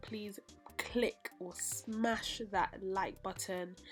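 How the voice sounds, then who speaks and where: A woman's voice sits at a medium pitch while music plays behind her. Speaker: interior design vlogger. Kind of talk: casual vlog talk to camera. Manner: energetic, trying to keep upbeat.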